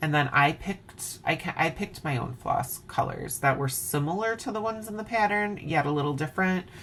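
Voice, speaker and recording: Lively intonation moves along at a moderate pace over noticeable background noise. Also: woman. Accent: Wisconsin. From Wisconsin. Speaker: craft video host. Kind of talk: casual chat. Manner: animated.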